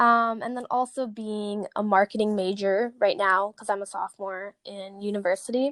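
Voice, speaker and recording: A woman with a plain, everyday voice and an American accent speaks at a moderate pace in a medium pitch, her intonation fairly even but her loudness swinging widely, in a dry, close sound with no echo. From Chicago. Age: 20s. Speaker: fitness coach. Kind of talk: interview. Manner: casual, filler-heavy.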